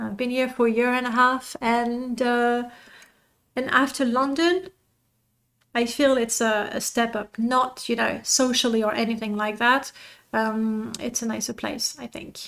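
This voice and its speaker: A woman with a French accent and a high pitch, at a fairly slow pace, in a very clean recording with a silent background. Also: fairly even intonation. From France. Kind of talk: casual, conversational.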